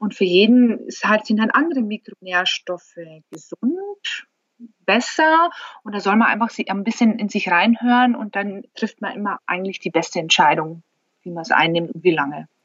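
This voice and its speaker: A woman talks in a plain, everyday voice at a moderate pace. Her intonation is lively and her loudness swings widely. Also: medium pitch for a woman. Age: 40s. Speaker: company founder. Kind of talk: interview.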